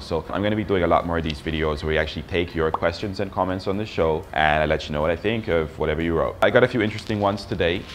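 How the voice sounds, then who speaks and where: Over noticeable background noise, a man talks at a very fast pace in a very deep, low voice with fairly even intonation. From Australia. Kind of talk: casual talk to camera.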